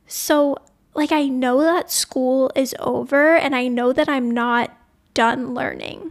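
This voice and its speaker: A woman's high voice with an American accent, fairly even intonation and a very slow pace. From US South, New Orleans, Louisiana. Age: 20s. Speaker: podcast host, college student. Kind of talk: solo personal podcast monologue.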